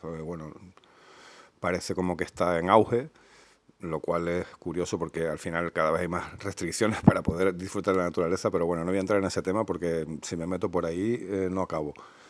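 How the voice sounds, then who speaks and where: Delivery moves at a fairly quick pace. The intonation is fairly even. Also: man, very deep, low pitch for a man. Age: 50s. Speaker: motorcyclist, enduro rider. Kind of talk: improvised casual talk about motorbikes. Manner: hesitant, many fillers.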